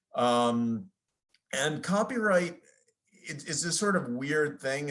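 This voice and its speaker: Very wide swings of pitch in a fairly high male voice. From US, New York. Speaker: lawyer, licensing executive. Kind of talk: conference presentation. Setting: video call. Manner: fast.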